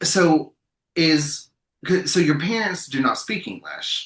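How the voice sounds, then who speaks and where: Pitched fairly high for a man, his voice is bright and sharp, with vocal fry. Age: 40s. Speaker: podcast host. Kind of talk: casual chat.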